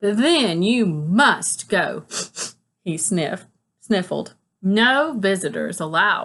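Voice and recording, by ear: Someone reads aloud in a natural voice, the intonation lively and the background quiet.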